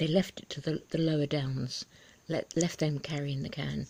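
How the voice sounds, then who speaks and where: Vocal fry marks a woman's dark, mellow tone, delivered in a British accent at a moderate pace. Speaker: video blogger, ex-religious commentator. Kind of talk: casual vlog commentary. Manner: soft-spoken; halting, many ums.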